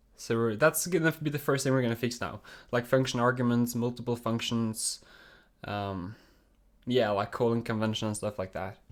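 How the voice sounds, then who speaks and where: Recorded very cleanly against a silent background, a man with a Norwegian accent speaks at medium pitch and a moderate pace. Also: ordinary pitch variation. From Norway. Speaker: programming streamer. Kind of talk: live coding stream. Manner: casual, with many fillers.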